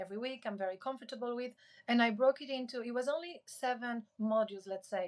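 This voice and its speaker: A woman with a non-native accent talks at a very fast pace with ordinary pitch variation. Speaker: creator and public speaking coach. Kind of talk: podcast interview.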